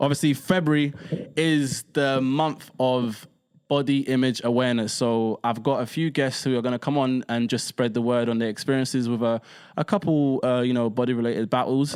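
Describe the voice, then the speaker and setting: In a very clean recording with a silent background, a man with an ordinary speaking voice talks at a moderate pace and medium pitch, his loudness very even and his intonation fairly even. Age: 20s. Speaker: podcast host. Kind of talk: casual chat.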